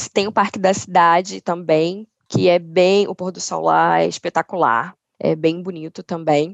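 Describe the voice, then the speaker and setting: A woman talks with an unremarkable speaking voice at a fairly slow pace. Her pitch sits fairly low, her intonation stays fairly even, and her loudness swings widely. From Niterói, Rio de Janeiro state, Brazil. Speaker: insurance company channel manager. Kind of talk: casual interview conversation.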